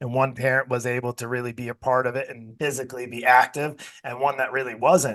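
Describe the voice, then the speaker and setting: A man with a medium-pitched voice is heard in a dry, close recording with no echo. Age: 50s. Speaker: podcast host and fitness coaching business owner. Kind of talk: interview. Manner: animated.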